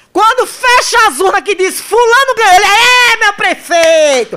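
A woman with a bright, sharp tone speaks in a raised, projected voice, animated and fairly slow, with very wide pitch swings. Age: 40s. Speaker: radio news host. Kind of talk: radio talk show with political commentary.

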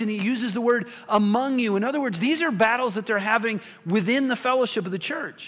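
Amid noticeable background noise, a man with an extremely high pitch talks at a fairly quick pace with ordinary pitch variation. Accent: American. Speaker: pastor. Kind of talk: sermon. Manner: conversational.

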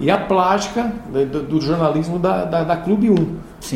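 Recorded with noticeable background noise and audible room echo, a man speaks at a high pitch and a moderate pace with ordinary pitch variation. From São Paulo state, Brazil (São Joaquim). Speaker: radio announcer and programmer. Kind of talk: interview.

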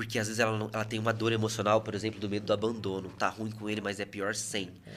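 The talking races along very fast. There is no background sound at all in this very clean recording. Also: man. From Brazil, Salto (São Paulo state). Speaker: psychoanalyst. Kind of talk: casual interview.

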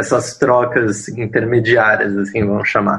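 Keeping a moderate pace, a man talks at a medium pitch. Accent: São Paulo. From São Paulo, Brazil (Zona Leste). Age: 30s. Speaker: interviewee in relationship documentary. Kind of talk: interview testimony. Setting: video call. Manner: halting, many fillers.

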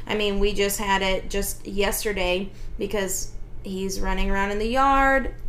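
A woman's fairly slow speech with fairly even intonation, over noticeable background noise. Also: medium pitch for a woman. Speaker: dog trainer and podcast host. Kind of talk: casual podcast chat.

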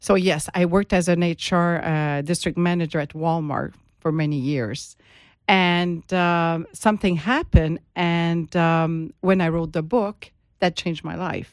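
In a Quebec accent, a woman speaks at a fairly slow pace with a fairly low pitch and fairly even intonation on a very clean recording with a silent background. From Quebec, Montreal. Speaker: HR consultant and author. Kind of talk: interview. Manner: halting.

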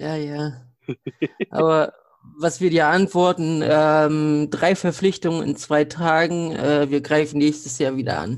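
A man talks at a very slow pace in a fairly high voice. His intonation is monotone and flat. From northeastern Germany. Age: 30s. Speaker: podcast guest, wrestling fan. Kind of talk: casual chat.

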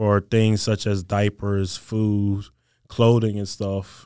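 With a Mississippi accent, a man speaks in a dark, mellow tone at a fairly low pitch with monotone, flat intonation, in a dry, close, very clean recording with a silent background and no echo. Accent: Southern US (Mississippi). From US South, Mississippi Gulf Coast. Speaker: college football player. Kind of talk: interview.

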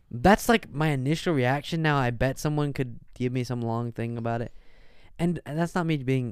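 With a plain, everyday voice, a man talks at a moderate pace and medium pitch with ordinary pitch variation, in a very clean recording over a silent background. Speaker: comedy podcast co-host. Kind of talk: casual chat.

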